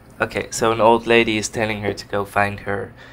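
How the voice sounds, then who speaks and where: A man speaks at a moderate pace in a fairly low pitch, his intonation flat and monotone, with music playing in the background. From Netherlands. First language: Dutch. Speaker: game developer. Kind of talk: let's play commentary. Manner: casual, hesitant.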